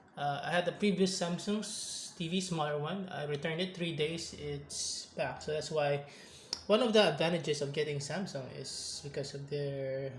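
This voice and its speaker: With a non-native accent, a man speaks at a fairly slow pace in a fairly high voice with ordinary pitch variation, amid noticeable background noise and audible room echo. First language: not English. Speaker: tech reviewer, gamer. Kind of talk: casual product review vlog. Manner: halting, self-correcting.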